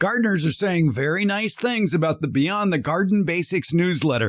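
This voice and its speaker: Pitch swings very widely. The pace stays moderate. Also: man. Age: 70s. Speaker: gardening podcast host. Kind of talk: scripted promo segment.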